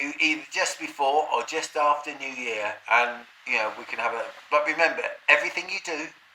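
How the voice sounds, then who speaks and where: The speaker talks at a moderate pace with noticeable background noise. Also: man. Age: 60s. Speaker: vlogger. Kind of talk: casual monologue. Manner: halting.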